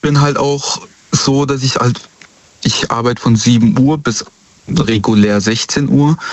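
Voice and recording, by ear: A man is speaking with a medium pitch. His intonation stays fairly even.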